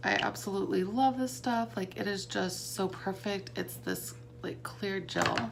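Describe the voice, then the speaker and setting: The speaker is a woman. Audible room echo and noticeable background noise accompany her voice. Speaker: beauty vlogger and makeup seller. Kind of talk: casual makeup tutorial. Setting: home, bright light. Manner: casual, hesitant with many fillers.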